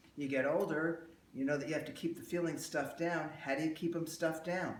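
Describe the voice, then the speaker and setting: At a fairly quick pace and with fairly even intonation, the speech carries audible room echo. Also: man. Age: 60s. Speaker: emotional release therapist. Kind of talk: workshop talk with live demonstration. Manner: conversational, rambling delivery with fillers.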